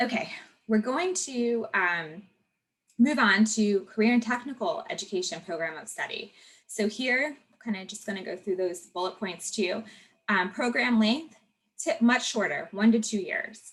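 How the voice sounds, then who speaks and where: This woman has a normal speaking voice with a fairly high pitch. She talks at a moderate pace with lively intonation. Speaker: conference presenter. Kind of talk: online presentation.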